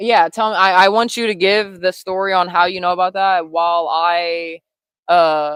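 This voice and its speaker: The voice is an unremarkable speaking voice with an American accent. Its pace is moderate. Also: woman, medium pitch for a woman, fairly even intonation. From Ohio. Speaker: YouTube host interviewing her grandmother. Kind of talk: casual livestream interview.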